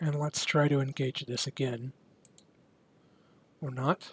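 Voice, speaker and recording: A man's somewhat breathy voice, dry and close with no echo. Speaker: amateur radio operator. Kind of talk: casual talk to camera. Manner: low-key.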